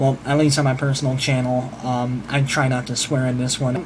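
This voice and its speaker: At a fairly quick pace, the voice comes through noticeable background noise and audible room echo. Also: man. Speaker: vlogger and musician. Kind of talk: casual vlog monologue. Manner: fast.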